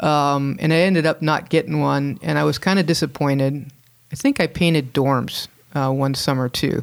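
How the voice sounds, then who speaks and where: In a very clean recording with a silent background, a woman with an American accent talks at a moderate pace, her very deep, low pitch showing ordinary variation and her loudness very even. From Southern California, Hermosa Beach. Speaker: winemaker. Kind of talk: casual interview.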